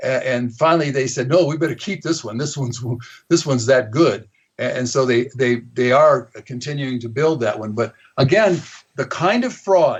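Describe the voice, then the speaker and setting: A man with a fairly high, somewhat breathy voice speaks at a moderate pace, his pitch varying in an ordinary way. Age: 70s. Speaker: author and activist on overpopulation. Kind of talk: talk radio interview. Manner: halting, many repetitions.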